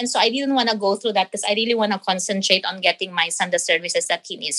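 A woman's medium-pitched voice with ordinary pitch variation, a bright, sharp tone and a dry, close sound with no echo. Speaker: nurse and parent. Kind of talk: interview.

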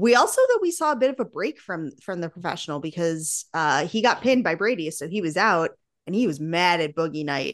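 With an ordinary speaking voice, a woman speaks fairly quickly at a fairly low pitch with lively intonation over a quiet background. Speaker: podcast co-host and wrestling fan. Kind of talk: casual podcast chat.

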